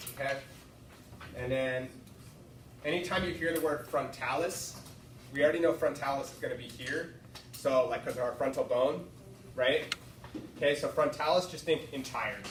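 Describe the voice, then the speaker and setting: Noticeable background noise behind speech with long, frequent pauses. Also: man. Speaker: student tutor. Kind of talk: tutoring session. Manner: fast.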